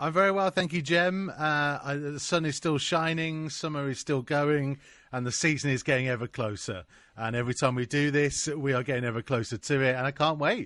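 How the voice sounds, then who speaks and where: Fairly quick speech from a man with an ordinary speaking voice, fairly high in pitch, ordinary pitch variation, quiet background. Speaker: club commentator. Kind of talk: casual interview.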